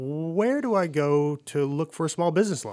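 A man with a plain, everyday voice talks at a moderate pace with ordinary pitch variation, on a very clean recording with a silent background. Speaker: radio host, veteran. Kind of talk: casual interview and ad reading.

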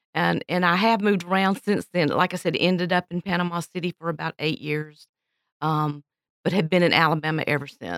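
With a Southern US accent, a woman speaks fairly quickly at a fairly low pitch and with fairly even intonation, in a dry, close sound with no echo. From Florida, Pensacola. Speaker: church pianist and retired music teacher. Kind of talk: casual interview.

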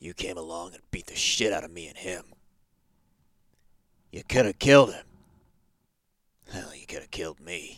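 A gruff, put-on character voice from a man, very deep and low, with ordinary pitch variation, a moderate pace and long, frequent pauses. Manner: gruff, irritated, confrontational.

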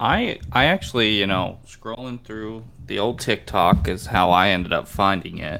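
A man talks in a plain, everyday voice at a fairly low pitch, with ordinary pitch variation. He leaves hardly any pauses, and his loudness swings a lot. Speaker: podcast co-host. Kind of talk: casual chat.

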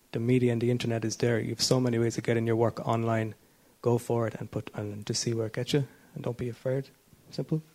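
A man talks very fast in a Kerry accent, at medium pitch. His tone is dark and mellow, and his intonation is flat and monotone. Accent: Kerry Irish. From Ireland, Tralee, County Kerry. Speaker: actor and writer. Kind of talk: panel discussion.

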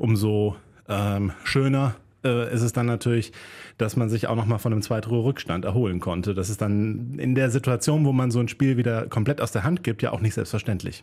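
Fairly quick and very even in loudness, a man's voice carries a dark, mellow tone. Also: medium pitch for a man, ordinary pitch variation. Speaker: podcast co-host. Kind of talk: casual chat.

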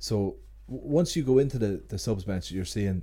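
A man speaks in an Ulster accent with a dark, mellow tone. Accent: Ulster Irish (Cavan). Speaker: sports journalist. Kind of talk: casual chat.

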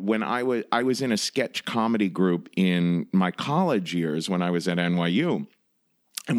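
In an American accent, an unremarkable speaking voice proceeds at a moderate pace with ordinary pitch variation on a very clean recording with a silent background. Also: man. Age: 40s. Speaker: comedian and storytelling podcast host. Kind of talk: casual interview.

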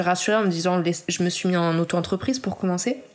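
A woman's medium-pitched, fairly quick delivery in an unremarkable speaking voice. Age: 30s. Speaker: illustrator. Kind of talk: interview.

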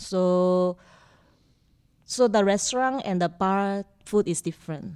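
A woman with a Korean accent, medium in pitch, with ordinary pitch variation and a very slow pace. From South Korea. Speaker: bartender. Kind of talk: interview. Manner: halting.

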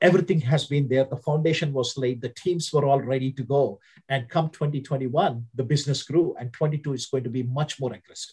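In an Indian accent, a man with a fairly high, somewhat breathy voice talks at a fairly quick pace with fairly even intonation and hardly any pauses. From India (Hyderabad). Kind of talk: interview.

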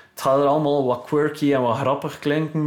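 A man with a fairly high pitch speaks at a moderate pace in a flat, monotone delivery. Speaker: electronic music producer and DJ. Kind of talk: casual interview. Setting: home studio.

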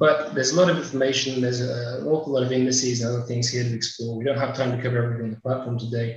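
Noticeable background noise accompanies a man who is talking very fast. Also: medium pitch for a man, fairly even intonation. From UK. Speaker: webinar host, data company partnership manager. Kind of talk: software demo and moderation. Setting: video call webinar. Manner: quick, rushed demo.

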